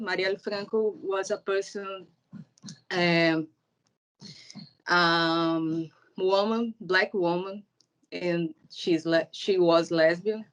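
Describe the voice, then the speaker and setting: Speaking very slowly in a Portuguese accent, a woman keeps a medium pitch and a fairly even intonation. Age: 30s. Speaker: filmmaker. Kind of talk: interview. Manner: halting.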